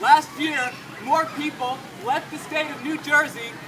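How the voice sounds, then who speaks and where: Over noticeable background noise, a man with an extremely high pitch speaks in a raised, projected voice at a moderate pace. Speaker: Libertarian political candidate. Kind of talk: political campaign speech. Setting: outdoors, public park with music playing.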